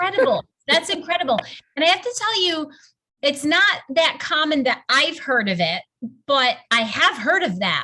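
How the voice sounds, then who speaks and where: A woman projects a raised, extremely high voice in a bright, sharp, animated tone, with very wide pitch swings. She moves at a moderate pace with long, frequent pauses. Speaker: wellness coach. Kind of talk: group coaching call.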